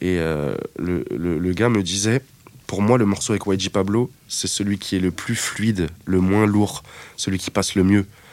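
A man talks at a fairly slow pace with a plain, everyday voice. His pitch is fairly low, with ordinary pitch variation. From Paris suburbs, France (Seine-Saint-Denis). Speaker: music producer. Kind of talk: interview. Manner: casual, filler-heavy.

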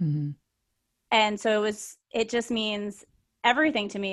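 A woman of medium pitch talks in a normal speaking voice against a quiet background. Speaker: podcast co-host, health coach. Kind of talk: casual chat.

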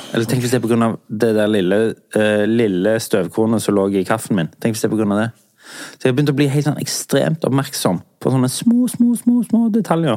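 Speaking at a fairly quick pace, a man has a dark, mellow tone, medium pitch and ordinary pitch variation. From southern Norway. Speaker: podcast host. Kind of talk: casual chat.

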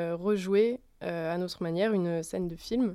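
A woman speaks at a medium pitch with ordinary pitch variation and a dark, mellow tone, captured in a very clean recording with a silent background. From France, Lyon. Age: 20s. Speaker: actress. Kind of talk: casual chat. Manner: halting.

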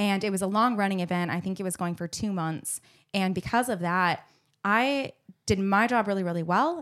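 A woman with an American accent talks in an animated tone at medium pitch and a moderate pace, with ordinary pitch variation. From Arizona, US. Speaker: event producer. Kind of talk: casual chat.

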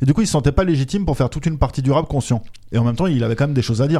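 Somewhat breathy and dark, mellow in tone, a man speaks at a very fast pace. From France. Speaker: podcast host. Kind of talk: interview; scripted narration.

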